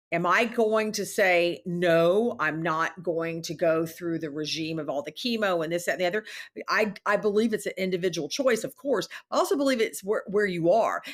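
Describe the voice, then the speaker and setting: A woman with a normal speaking voice, medium pitch and an American accent talks with ordinary pitch variation. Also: moderate pace. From US, Texas (Houston). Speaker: healthcare executive and bioethicist. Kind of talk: casual interview chat.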